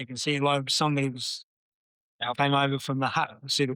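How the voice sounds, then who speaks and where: This man with a New Zealand accent talks at a moderate pace in a bright, sharp tone, and the sound is dry and close with no echo. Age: 70s. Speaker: swim coach. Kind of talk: casual chat. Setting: cafe. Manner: halting.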